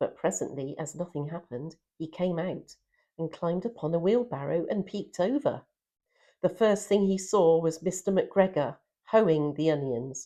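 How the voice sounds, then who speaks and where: A dark, mellow, warm and gentle tone at a moderate pace with lively intonation. The recording is very clean, with a silent background. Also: woman, fairly low pitch for a woman. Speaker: storyteller. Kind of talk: children's story reading. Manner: warm, gentle.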